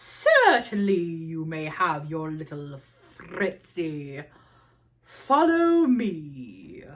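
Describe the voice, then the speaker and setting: Growling, very slow speech from a woman in a put-on character voice, fairly low in pitch. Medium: read story. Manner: theatrical, imperious.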